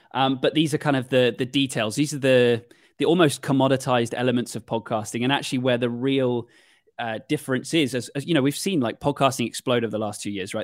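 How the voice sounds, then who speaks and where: Speaking at a very fast pace, a man talks with a British accent. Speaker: podcast production agency owner. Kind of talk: interview. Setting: video call.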